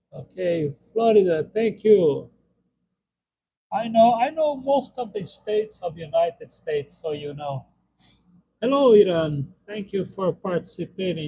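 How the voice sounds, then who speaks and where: This speaker has a Brazilian accent and a dark, mellow tone. The intonation is lively and the pace fairly slow. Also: man, high pitch for a man. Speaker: live streamer. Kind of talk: casual live-stream Q&A. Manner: halting, many fillers.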